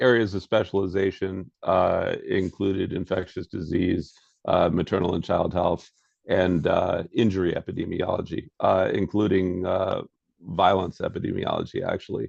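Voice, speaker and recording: A man talks fairly slowly in a close, dry recording with no echo. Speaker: game designer, former epidemiologist. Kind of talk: interview answer.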